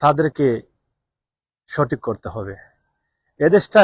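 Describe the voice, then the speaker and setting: A man with a fairly high pitch speaks somewhat breathily in a dry, close sound with no echo, on a very clean recording with a silent background. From Bangladesh. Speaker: expatriate vlogger. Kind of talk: live stream monologue.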